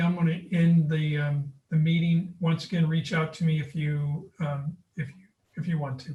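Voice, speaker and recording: This man has a plain, everyday voice, pitched fairly high. He speaks at a moderate pace. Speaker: school district leader. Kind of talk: town hall meeting.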